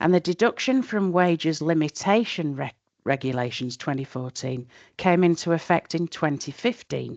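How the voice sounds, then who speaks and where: With a Yorkshire accent, a woman speaks at a moderate pace with lively intonation and a very deep, low pitch, in a dry, close sound with no echo and a quiet background. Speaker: tax expert presenting a webinar. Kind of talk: webinar lecture. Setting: online webinar.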